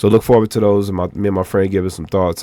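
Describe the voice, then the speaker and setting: Noticeable noise fills the background. The speaker is a man. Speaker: indie game developer, video game commentator. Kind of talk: casual commentary vlog. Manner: casual, informal.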